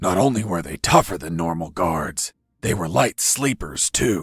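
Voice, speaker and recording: A man with a very deep, low pitch speaks in a deadpan tone at a moderate pace. The sound is dry and close with no echo. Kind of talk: hard-boiled voice-over. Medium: machinima. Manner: deadpan, gravelly understatement.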